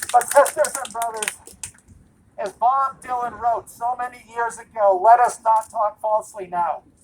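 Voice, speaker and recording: Over noticeable background noise, a woman with an American accent and a fairly high pitch speaks at a moderate pace with fairly even intonation and big swings in loudness. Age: 70s. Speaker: activist speaker at a rally. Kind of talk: rally speech. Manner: impassioned.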